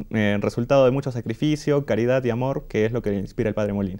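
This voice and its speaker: A man's dark, mellow voice with fairly even intonation, against a quiet background. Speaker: choir singer; interview guest. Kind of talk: interview. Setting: studio. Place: studio.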